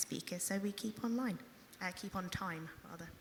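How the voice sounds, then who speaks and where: Ordinary pitch variation marks the speech of a woman with a British accent. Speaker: panel moderator. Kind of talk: moderating. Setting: conference stage with audience.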